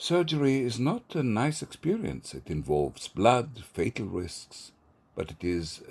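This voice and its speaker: A man talks with vocal fry and very wide pitch swings. The recording is very clean, the background silent. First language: Hebrew. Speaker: poet and theatre professor. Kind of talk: poetry reading.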